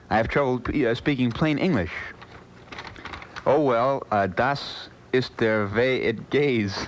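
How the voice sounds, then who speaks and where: A man's voice at medium pitch, with long, frequent pauses and noticeable background noise. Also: ordinary pitch variation, very even loudness. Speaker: radio disc jockey. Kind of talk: overnight radio show banter. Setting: AM radio broadcast. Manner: relaxed, conversational.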